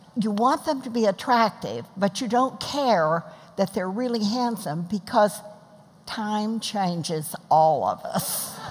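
The pace is very slow, and the voice is somewhat breathy. It carries an American accent. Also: woman. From Texas. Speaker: mother of the host, retired food bank founder; mother of the host. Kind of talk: interview in front of a class audience. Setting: church class with live audience. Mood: warm, humorous. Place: stage. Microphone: headset.

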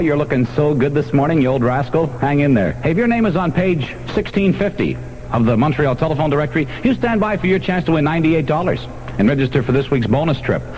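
A man's fairly high voice, very fast with hardly any pauses, lively intonation and very even loudness, over music in the background. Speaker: radio disc jockey. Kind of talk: morning radio DJ patter with jokes. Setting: radio broadcast, second-generation copy. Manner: joking, wisecracking. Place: studio. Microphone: old recording.

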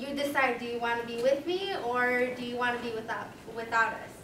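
With an American accent, a woman speaks at a moderate pace in a high pitch and fairly even intonation, against noticeable background noise. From Cicero, Chicago area, US Midwest; Illinois. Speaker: student. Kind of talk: panel discussion. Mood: personal, reflective family story. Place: classroom.

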